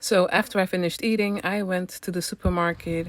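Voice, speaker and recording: Noticeable background noise sits behind a woman with a Dutch accent who speaks at a moderate pace in a fairly low voice with fairly even intonation. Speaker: travel vlogger. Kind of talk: travel vlog narration. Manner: hesitant, many fillers.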